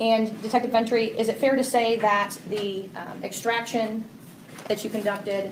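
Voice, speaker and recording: At a moderate pace, a woman speaks in a fairly high, flat monotone, with audible room echo and noticeable background noise. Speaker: defense attorney. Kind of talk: cross-examination in court. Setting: courtroom. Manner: loud.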